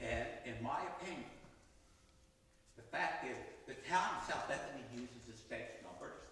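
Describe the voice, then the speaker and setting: Amid noticeable background noise and audible room echo, a man speaks at a moderate pace with big swings in loudness and long, frequent pauses. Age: 80s+. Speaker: property owner appealing assessment. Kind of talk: formal hearing. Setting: town board meeting.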